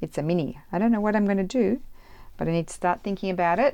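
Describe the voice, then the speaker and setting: A woman speaks with an Australian accent in a dark, mellow tone. Her intonation is lively. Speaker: crafter. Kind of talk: casual craft tutorial. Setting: home craft room. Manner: chatty, rambling. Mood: relaxed, cheerful. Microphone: phone near.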